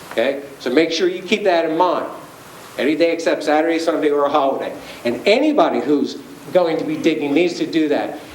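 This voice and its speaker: A man talks at a fairly high pitch in a Philadelphia accent. There is noticeable background noise and audible room echo. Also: ordinary pitch variation, fairly quick pace. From Philadelphia area. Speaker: utility safety presenter. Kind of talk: public presentation. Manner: casual, conversational.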